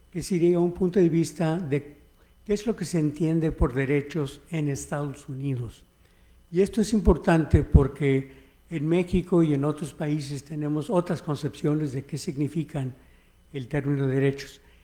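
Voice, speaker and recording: The recording is very clean with a silent background. A man with an English accent speaks fairly slowly in a fairly high, dark and mellow voice. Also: ordinary pitch variation. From United States, Mexican-American. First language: English (speaking Spanish). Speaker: history professor. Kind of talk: keynote lecture. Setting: conference hall with audience. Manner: halting, with fillers.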